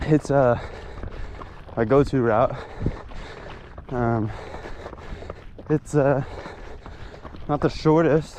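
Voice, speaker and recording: A man speaks at a very slow pace with a fairly high pitch for a man and fairly even intonation. His long, frequent pauses sit over noticeable background noise. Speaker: vlogger. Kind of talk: vlog while trail running. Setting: outdoors, on a trail. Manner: halting, many fillers.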